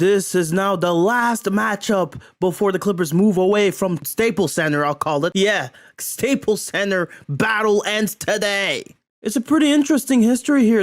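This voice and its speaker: At a moderate pace, a man speaks in a high pitch with an animated tone. His intonation is lively, on a very clean recording with a silent background. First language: not English. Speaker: sports commentary YouTuber. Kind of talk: video commentary on clips. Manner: casual, animated.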